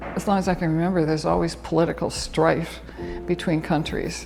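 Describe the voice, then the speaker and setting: Music plays in the background while a woman with a Canadian accent talks at a moderate pace. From Toronto, Canada. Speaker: retired nurse. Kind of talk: interview answer.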